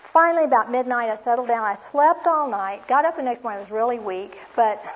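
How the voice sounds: A woman talks at a fast pace. Her pitch is fairly high, with ordinary variation.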